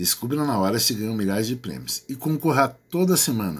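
A man's medium-pitched voice with a Brazilian accent, lively intonation and a moderate pace, on a very clean recording with a silent background. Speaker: promotions YouTuber. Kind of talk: upbeat infomercial-style promo pitch, reading rules aloud and urging viewers to enter. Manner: animated, enthusiastic, salesy; casual, friendly, chatty.

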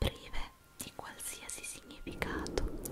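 A woman is whispering with an intense tone. She goes at a very slow pace. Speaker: ASMR creator. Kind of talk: guided relaxation, motivational talk to viewer. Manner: intense whispering, soft-spoken. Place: home room. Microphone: studio mic.

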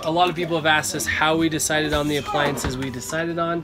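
A man talking at a very fast pace over clear music in the background. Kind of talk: casual vlog chat. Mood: cheerful, laughing. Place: bus. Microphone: phone near.

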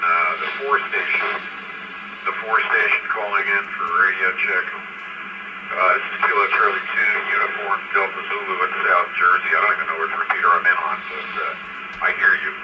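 Loud background noise surrounds a man who talks at a moderate pace. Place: home room. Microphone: two way radio.

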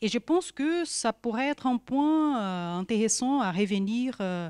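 Speech moves at a very slow pace with very wide pitch swings. The background is quiet. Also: woman. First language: Portuguese (speaking French). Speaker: social science researcher; panel discussant. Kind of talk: academic talk. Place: hall.

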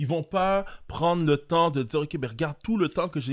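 A man speaks at a fairly quick pace and fairly high pitch. His intonation is lively, and the background is quiet. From Montreal, Quebec (Haitian community). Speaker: podcast host, entrepreneur; podcast host. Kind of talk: casual chat. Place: studio. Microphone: studio mic.

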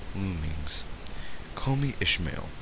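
A man's lively intonation stands out above noticeable background noise. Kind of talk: audiobook reading. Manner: occasional stutter.

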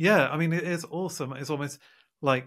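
A man talks with fairly even intonation against a quiet background. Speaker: science author. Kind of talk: interview. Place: home room. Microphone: studio mic.

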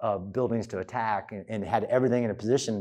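With a quiet background behind him, the man's tone is dark and mellow. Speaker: guest lecturer. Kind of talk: lecture. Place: hall. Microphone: lapel.

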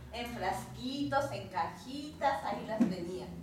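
A woman speaks with very wide pitch swings. Audible room echo and light background noise are present. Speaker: storyteller. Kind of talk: live oral storytelling for children. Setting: live audience. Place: home room. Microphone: camera far.

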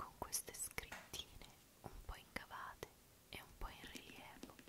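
A woman whispering at a fairly slow pace, relaxed in tone, with big swings in loudness. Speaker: ASMR creator. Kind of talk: ASMR show and tell, soft-spoken talk to camera. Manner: soft-spoken, slow, relaxed. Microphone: studio mic.

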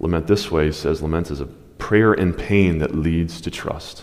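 The speaker is a man. He keeps a moderate pace and fairly even intonation. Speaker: preacher. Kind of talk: sermon. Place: stage.

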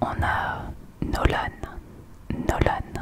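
A woman is whispering. Noticeable background noise runs behind her. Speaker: ASMR creator. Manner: close intimate whisper into microphone. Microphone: studio mic.

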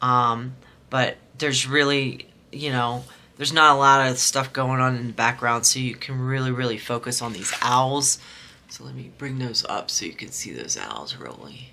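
A woman's very deep, low voice at a moderate pace, flat and monotone, over light background noise. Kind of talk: casual unboxing chat. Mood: relaxed, chatty.

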